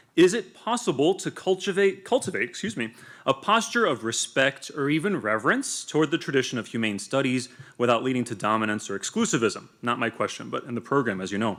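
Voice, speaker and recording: A man with a Spanish accent talks very fast. His medium-pitched voice swings very widely in pitch. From US, son of Latin American immigrants. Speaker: academic institute staff, panel speaker. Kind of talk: prepared talk. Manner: formal.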